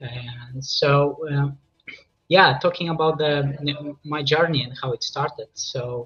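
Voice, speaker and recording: This man speaks with a Polish accent. His pitch is fairly high. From Poland. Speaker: composer. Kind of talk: interview. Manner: halting.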